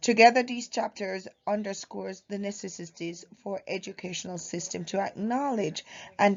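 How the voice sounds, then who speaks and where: Speaking at a moderate pace, a woman with a Jamaican accent has a medium pitch and ordinary pitch variation. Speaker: university student. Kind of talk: class presentation. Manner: halting.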